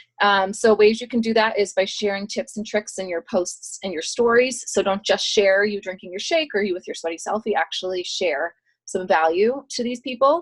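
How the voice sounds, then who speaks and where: The speech has hardly any pauses and ordinary pitch variation. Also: woman, medium pitch for a woman. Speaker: network marketing coach. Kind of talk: team call presentation. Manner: fast.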